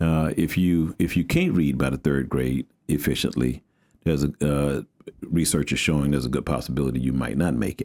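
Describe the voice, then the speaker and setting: A man's very deep, low voice with an American accent, a fairly quick pace, fairly even intonation and very even loudness. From Houston, Texas. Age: 60s. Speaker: pastor. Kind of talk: interview. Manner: casual, halting with repetitions.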